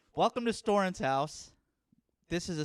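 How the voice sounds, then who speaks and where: The recording is very clean and the background silent. A man talks throughout. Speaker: podcast host and comedian. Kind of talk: casual chat. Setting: home studio podcast set. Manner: loud.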